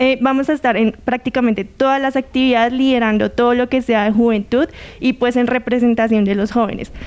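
Speaking at a fairly quick pace, a woman holds a high pitch, monotone, flat intonation, and very even loudness. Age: 20s. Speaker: youth council member. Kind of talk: TV interview. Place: studio. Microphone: handheld.

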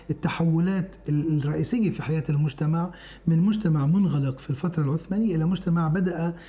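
Speech comes at a moderate pace with hardly any pauses. The intonation stays fairly even. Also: man. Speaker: interviewee. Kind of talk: interview answer. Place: studio. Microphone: lapel.

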